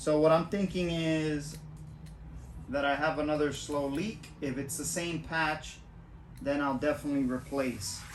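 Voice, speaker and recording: A man with an American accent speaks fairly slowly at a fairly high pitch with ordinary pitch variation. Music plays in the background, and there is audible room echo. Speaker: YouTuber, e-bike rider. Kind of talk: casual vlog and tutorial. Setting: outdoors on a street.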